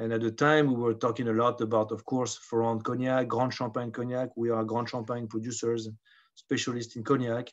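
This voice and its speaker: In a French accent, the speaker goes at a fairly quick pace with monotone, flat intonation. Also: man, medium pitch for a man. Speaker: spirits brand ambassador. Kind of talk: casual interview. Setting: video call.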